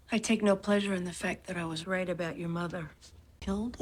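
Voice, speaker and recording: Using a put-on character voice, a woman talks very fast in a raspy, medium-pitched tone. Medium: short film.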